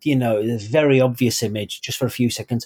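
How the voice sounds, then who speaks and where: Speaking at a fairly quick pace with a northern English accent, a man uses a medium pitch and ordinary pitch variation. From northern England. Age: 40s. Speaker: author. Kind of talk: interview.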